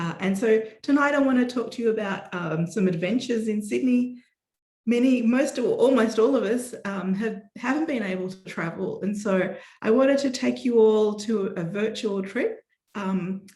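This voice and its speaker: Recorded with audible room echo, a woman with an Australian accent speaks at a moderate pace, her fairly high, somewhat breathy voice dark and mellow in tone with ordinary pitch variation. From Australia, Melbourne. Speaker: botanist, scientist. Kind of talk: lecture.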